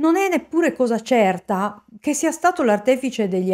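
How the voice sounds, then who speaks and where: A woman's serious voice with lively intonation, moderate pace and a quiet background. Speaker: true crime narrator. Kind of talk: true-crime narration. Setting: studio, solo video narration. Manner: measured, serious storytelling. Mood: serious, suspenseful. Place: home room. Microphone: studio mic.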